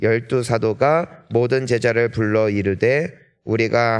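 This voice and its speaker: A man with an unremarkable speaking voice, medium pitch and fairly even intonation, over a quiet background. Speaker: pastor. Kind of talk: sermon; reading aloud. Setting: church.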